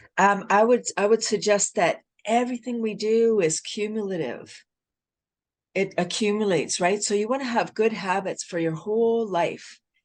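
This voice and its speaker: The background is quiet as a woman speaks at a moderate pace. Her pitch is medium, with ordinary variation. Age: 60s. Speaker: wellness advocate and laughter yoga expert. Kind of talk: podcast interview. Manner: animated.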